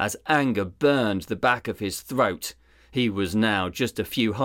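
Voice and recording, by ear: A clip of reading aloud in a natural voice.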